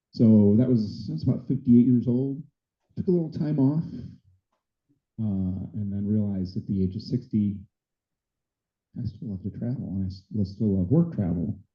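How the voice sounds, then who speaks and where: A man's fairly low, somewhat breathy voice with an American accent, ordinary pitch variation, a moderate pace and long, frequent pauses. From US Midwest, Chicago area. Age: 60s. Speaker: dive travel business owner and flight attendant. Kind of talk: club meeting presentation. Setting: meeting room with audience. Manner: casual, conversational.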